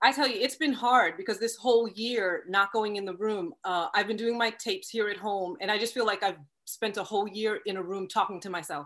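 A woman with a plain, everyday voice talks in an American accent at a fairly high pitch, with ordinary pitch variation, a fairly quick pace and hardly any pauses. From Long Island, New York. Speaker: actress. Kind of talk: interview.

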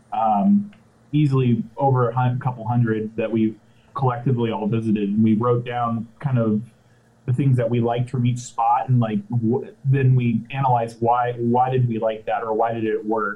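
An American-accented man of medium pitch talks at a moderate pace with fairly even intonation. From Orange County, California. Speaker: brewery co-founder. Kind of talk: casual interview. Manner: halting, many fillers.

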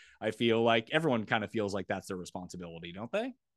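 At a very fast pace, a man speaks at medium pitch with very wide pitch swings. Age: 30s. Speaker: sports betting and fantasy content creator. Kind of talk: casual chat.

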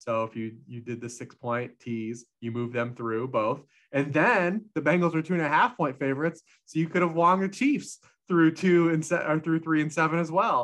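A man with lively intonation and a fairly high pitch for a man speaks at a moderate pace in an ordinary speaking voice. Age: 40s. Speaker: football betting analyst. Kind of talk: casual chat.

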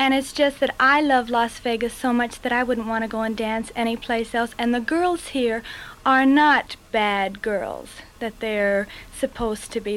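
A woman with an American accent speaks at a fairly slow pace with an ordinary speaking voice. Her pitch is fairly high, with ordinary pitch variation. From Los Angeles. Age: 20s. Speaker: showgirl dancer. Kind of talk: interview.

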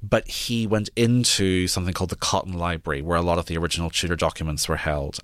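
A man with a very deep, low pitch and a Northern Irish accent, talking very fast with hardly any pauses and ordinary pitch variation, on a very clean recording with a silent background. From Northern Ireland, near Belfast. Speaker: historian and author. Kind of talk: interview.

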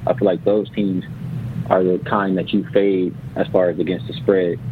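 Noticeable background noise surrounds a man whose pitch is fairly low. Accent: American. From Los Angeles. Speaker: NBA betting analyst. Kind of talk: radio interview.

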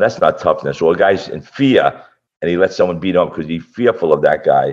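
This man talks with a Brooklyn accent. His pace is fairly quick. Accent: Brooklyn New York. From Brooklyn, New York (Gravesend). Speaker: fight promoter and martial arts instructor. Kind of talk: casual interview.

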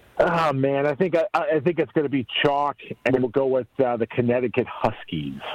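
Recorded with a dry, close sound and no echo, the speech moves at a moderate pace with ordinary pitch variation and very even loudness, though noticeable background noise is present. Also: man, fairly high pitch for a man. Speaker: play-by-play announcer. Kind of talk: casual sports betting chat.

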